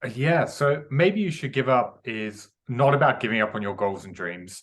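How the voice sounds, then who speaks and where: Speaking at a moderate pace with an English accent, a man has a bright, sharp tone against a quiet background. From England. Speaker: author and mindset coach. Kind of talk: podcast interview.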